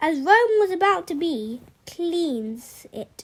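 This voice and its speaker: A woman's put-on character voice, extremely high in pitch and very slow in pace. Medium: read story. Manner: loud, bellowing.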